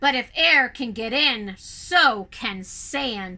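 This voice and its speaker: A put-on character voice growls out the words. The pace is very slow. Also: woman, high pitch for a woman. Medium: read story. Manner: smug, mocking.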